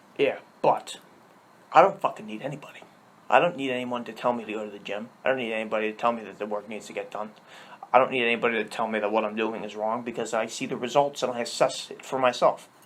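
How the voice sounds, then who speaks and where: Over noticeable background noise, a man talks at a very fast pace and a medium pitch, his loudness swinging widely. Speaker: podcast guest. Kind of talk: casual chat. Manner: animated.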